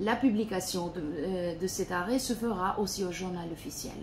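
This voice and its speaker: A woman speaks very slowly with light background noise behind her. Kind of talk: formal presentation. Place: office. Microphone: phone near.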